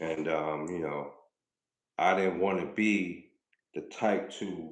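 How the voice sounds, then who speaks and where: In a New York accent, a man speaks very slowly with ordinary pitch variation, and audible room echo surrounds him. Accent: New York (Bronx). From Bronx, New York. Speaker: rapper and livestreamer. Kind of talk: live stream chat with viewers. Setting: live stream. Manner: casual, hesitant with fillers.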